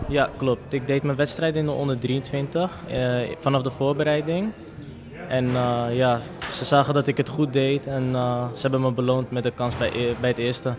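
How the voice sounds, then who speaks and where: A man keeps his intonation fairly even while noticeable background noise runs underneath. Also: moderate pace. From Amsterdam, Netherlands. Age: 20s. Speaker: football player. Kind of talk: post-match interview. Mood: happy, modest. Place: hall. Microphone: handheld.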